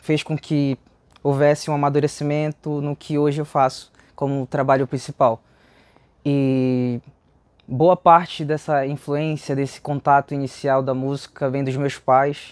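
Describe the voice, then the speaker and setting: In a Pará accent, a man speaks at a fairly slow pace with long, frequent pauses and monotone, flat intonation, the sound dry with no echo. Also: quiet background. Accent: Paraense Brazilian Portuguese. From Pará, Brazil (Cametá, Tucuruí, Belém). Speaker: musician. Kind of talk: interview. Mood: relaxed and friendly. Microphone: lapel.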